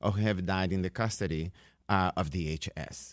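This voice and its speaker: A man's voice comes through with a dry, close sound and no echo. The recording is very clean, with a silent background. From Brazil. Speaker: professor. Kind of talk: radio interview. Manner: halting, many fillers.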